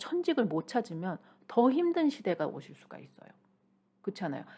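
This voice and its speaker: Speaking at a fairly slow pace, a woman uses lively intonation in a dark, mellow tone. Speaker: shaman and career counselor. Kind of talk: YouTube talk on finding one's calling. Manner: halting, stumbles over pronunciation; conversational, informal.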